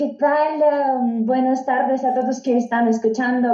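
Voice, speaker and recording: A woman with a Russian accent speaks at a high pitch in a dark, mellow tone. Her intonation is monotone and flat, and her pace is fairly slow. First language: Russian (speaking Spanish). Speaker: diplomat. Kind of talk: casual chat. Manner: halting.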